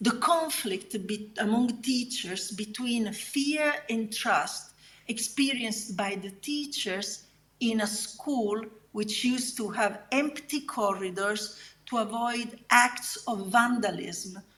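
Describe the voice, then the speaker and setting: A woman with an Italian accent speaks very slowly, with a fairly high pitch and ordinary pitch variation. Her voice carries audible room echo. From southern Italy. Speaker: academic researcher. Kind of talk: conference keynote lecture. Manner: halting.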